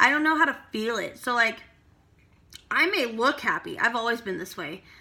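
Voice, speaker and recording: Her fairly high pitch carries lively intonation along with vocal fry, and the speaker is a woman. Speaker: vlogger. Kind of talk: personal vlog monologue. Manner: hesitant, many fillers.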